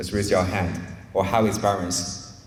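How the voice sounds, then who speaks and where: A man speaks with a non-native accent, and audible room echo can be heard. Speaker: poultry science researcher. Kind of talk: presentation talk. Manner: conversational, engaging audience.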